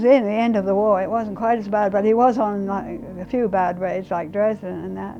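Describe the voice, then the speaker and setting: With music in the background and audible room echo, a woman talks at a fairly quick pace with fairly even intonation. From England. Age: 80s+. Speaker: war bride, WWII home-front witness. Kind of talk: interview testimony. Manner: halting, with frequent fillers.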